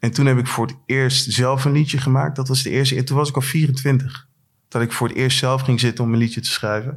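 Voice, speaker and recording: In a very clean recording with a silent background, a man speaks in a somewhat breathy voice with monotone, flat intonation. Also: medium pitch for a man. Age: 40s. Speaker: rapper. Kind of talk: casual chat. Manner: halting.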